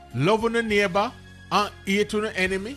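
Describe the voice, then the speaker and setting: High-pitched male voice, raised and projected, in a Jamaican accent at a moderate pace, with music in the background. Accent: Jamaican Patois. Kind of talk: scripture reading.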